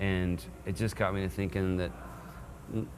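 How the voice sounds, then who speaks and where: Moderate pace, with audible room echo. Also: man. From Texas. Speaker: singer-songwriter. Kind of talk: interview.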